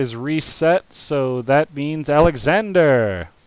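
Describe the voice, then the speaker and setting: A man with an American accent, fairly high in pitch, at a very slow pace against a quiet background. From United States. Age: 30s. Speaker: streamer and game master. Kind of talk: live-streamed tabletop game narration. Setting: live stream.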